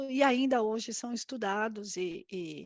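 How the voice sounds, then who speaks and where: A woman with an Argentine accent, fairly high in pitch, with ordinary pitch variation. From Argentina. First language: Spanish (speaking Portuguese). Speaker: corporate risk director. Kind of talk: live interview. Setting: live stream. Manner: halting, many fillers.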